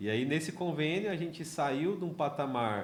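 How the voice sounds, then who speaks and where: Here a man talks at a moderate pace. Room echo is audible. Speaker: podcast host, social entrepreneur. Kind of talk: casual interview. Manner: halting, many repetitions.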